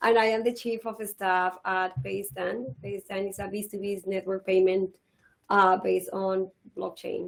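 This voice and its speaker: Speech in a Colombian accent moves at a moderate pace with fairly even intonation. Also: woman. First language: Spanish. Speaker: business executive, panelist. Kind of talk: panel discussion.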